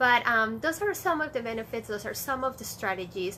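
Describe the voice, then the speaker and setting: A bright, sharp tone from a woman, high in pitch. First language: Spanish. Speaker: early childhood school director. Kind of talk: casual vlog talk. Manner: many fillers, hesitant.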